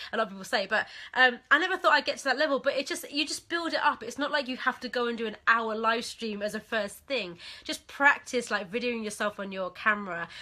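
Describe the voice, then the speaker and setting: Delivered at a very fast pace, this animated voice has a bright, sharp tone and big swings in loudness, on a very clean recording with a silent background. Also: woman, high pitch for a woman, lively intonation. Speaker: business coach. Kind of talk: live stream training. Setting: Facebook live video.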